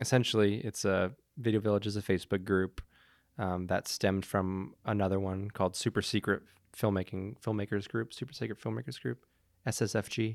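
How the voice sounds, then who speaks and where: A man's ordinary speaking voice, fairly low in pitch, with ordinary pitch variation at a fairly quick pace, on a very clean recording with a silent background. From Montreal, Canada. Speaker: Steadicam operator and cinematographer. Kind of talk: casual interview.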